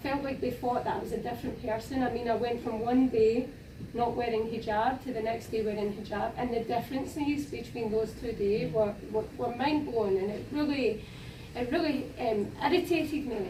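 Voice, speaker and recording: Moderate pace in a Scottish accent, ordinary pitch variation, audible room echo and noticeable background noise. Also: woman, fairly high pitch for a woman. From Scotland. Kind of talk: panel discussion. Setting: university panel event with audience.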